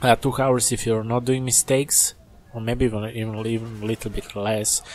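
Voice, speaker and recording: Fairly quick, flat, monotone speech comes through over noticeable background noise. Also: man, medium pitch for a man. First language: not English. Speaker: gaming YouTuber. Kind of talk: casual game review rant.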